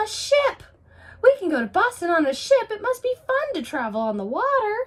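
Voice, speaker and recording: Someone puts on a character voice. It sounds squeaky. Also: woman, extremely high pitch for a woman, moderate pace. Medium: read story. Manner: eager, cheerful.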